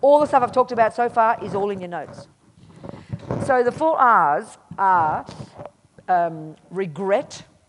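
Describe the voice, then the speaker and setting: In an Australian accent, the speaker uses an animated tone with lively intonation, big swings in loudness and long, frequent pauses. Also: woman. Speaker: Buddhist nun and teacher. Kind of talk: dharma talk at a retreat. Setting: meditation retreat with audience.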